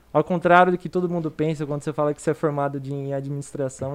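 A man talks very fast in a fairly high voice with flat, monotone intonation. The sound is dry and close, with no echo. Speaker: financial educator. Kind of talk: casual chat.

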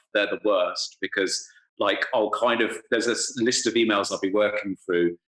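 Delivered with an English accent, the speech keeps a very even loudness. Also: man, moderate pace. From England. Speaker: music writer and podcaster. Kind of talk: casual interview. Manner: halting, many fillers and repetitions.

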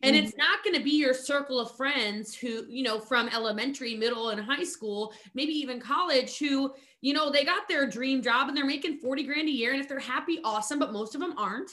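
A woman's raised, projected voice with an American accent, high pitch, ordinary pitch variation and a bright, sharp tone, at a fairly quick pace with hardly any pauses. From US Mid-Atlantic, rural Maryland. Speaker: network marketing entrepreneur. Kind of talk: casual interview chat. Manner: animated, fast.

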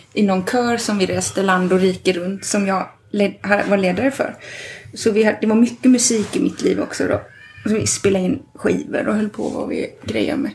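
At a moderate pace, a woman speaks at a medium pitch with ordinary pitch variation against noticeable background noise. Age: 40s. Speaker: midwife. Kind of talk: casual chat. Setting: at home.

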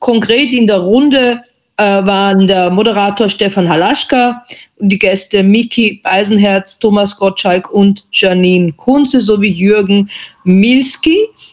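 A woman with an unremarkable speaking voice talks fairly slowly at a medium pitch, with ordinary pitch variation and very even loudness. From Austria. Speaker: journalist. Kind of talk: panel discussion.

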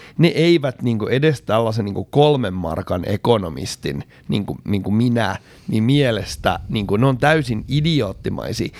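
A man speaks at a fairly slow pace in a medium pitch, his voice swinging very widely up and down. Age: 40s. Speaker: podcast co-host and farmer. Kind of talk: casual chat. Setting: studio. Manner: hesitant with filler sounds.

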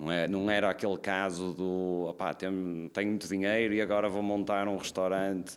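A man's very deep, low voice comes through a very clean recording with a silent background. He speaks at a moderate pace with monotone, flat intonation. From northern Portugal, Braga. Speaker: restaurant owner. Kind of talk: casual chat.

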